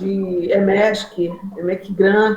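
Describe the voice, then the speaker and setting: Background noise is noticeable. Over it, a woman talks. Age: 60s. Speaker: spiritist participant. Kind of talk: casual discussion.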